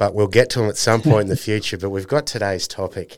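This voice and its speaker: Heard on a very clean recording with a silent background, the speaker has an Australian accent and fairly even intonation. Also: man. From North Queensland, Australia. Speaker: podcast host. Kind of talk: casual interview chat.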